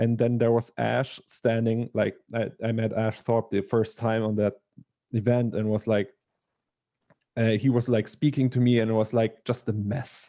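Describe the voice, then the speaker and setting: With a German accent, a man of medium pitch speaks at a moderate pace in a flat monotone, his tone dark and mellow, leaving long, frequent pauses. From Germany. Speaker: digital artist. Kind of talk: casual chat. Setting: video call. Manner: halting.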